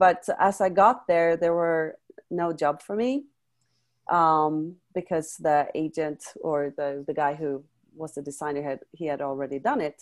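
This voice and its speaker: A woman with a Swedish accent speaks at a fairly slow pace. Her pitch is very deep and low, with ordinary variation. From Sweden, Stockholm. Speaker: life coach and former model. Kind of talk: interview testimony. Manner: hesitant with many fillers.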